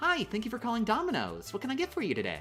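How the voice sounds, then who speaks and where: A put-on character voice, fairly high in pitch, races along very fast with clear music in the background. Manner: polite, cheerful.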